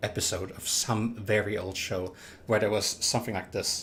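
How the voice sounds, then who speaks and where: A somewhat breathy voice with a non-native accent at a moderate pace. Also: man. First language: not English. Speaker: livestreaming gamer. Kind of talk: live gameplay commentary. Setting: livestream. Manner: halting, with false starts.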